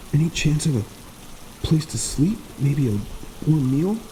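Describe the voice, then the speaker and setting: Over clear background noise, a put-on character voice mumbles in a whisper at a moderate pace. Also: man. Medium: read story. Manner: mumbling, coarse whisper.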